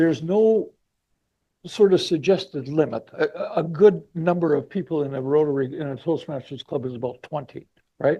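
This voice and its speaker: A man with a Manitoban accent has a fairly high pitch and a dark, mellow tone. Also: ordinary pitch variation, moderate pace. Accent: Canadian (Manitoba). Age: 70s. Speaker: motivational speaker. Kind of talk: speech to audience. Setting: club meeting with live and online audience.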